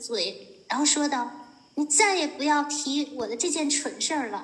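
Over noticeable background noise, a woman talks in a high voice with ordinary pitch variation. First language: Chinese. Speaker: interpreter. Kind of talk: consecutive interpretation of a lecture. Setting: video call.

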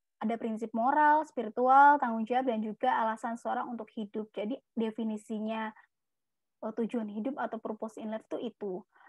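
The voice is somewhat breathy and moves at a fairly quick pace, the sound dry with no echo over a quiet background. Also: woman, fairly high pitch for a woman. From Indonesia (East Java). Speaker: psychology speaker. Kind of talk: webinar talk. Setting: video call. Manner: animated.

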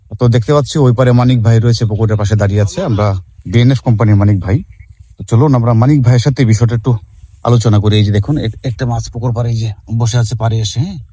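Medium-pitched male speaker, an unremarkable speaking voice, intonation fairly even. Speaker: fish farming video host. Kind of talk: on-site educational video. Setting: outdoors at a pond.

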